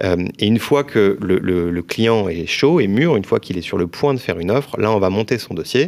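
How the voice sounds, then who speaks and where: On a very clean recording with a silent background, a man with an ordinary speaking voice talks at a fairly quick pace and a fairly low pitch, with lively intonation. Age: 30s. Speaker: mortgage broker, company founder. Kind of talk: casual interview.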